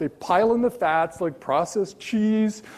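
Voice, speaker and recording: In a dark, mellow tone, a man speaks at a fairly slow pace. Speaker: keynote speaker, journalist. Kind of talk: keynote lecture. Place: hall.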